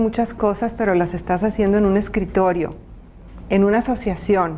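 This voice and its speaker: A woman's medium-pitched, dark, mellow voice at a moderate pace with fairly even intonation. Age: 60s. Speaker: women's advocate and former city councillor. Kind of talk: interview.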